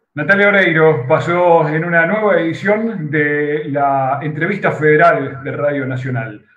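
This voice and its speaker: There is audible room echo as a man speaks at a fairly slow pace, with a fairly high pitch and ordinary pitch variation. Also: hardly any pauses. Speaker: radio host. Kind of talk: broadcast interview. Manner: formal. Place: office. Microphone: video call.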